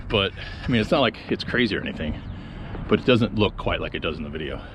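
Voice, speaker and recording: A man speaks with a fairly low pitch. Noticeable background noise can be heard. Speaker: skateboarding vlogger. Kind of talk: casual vlog talk to camera. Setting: outdoors at a skatepark. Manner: halting, many fillers.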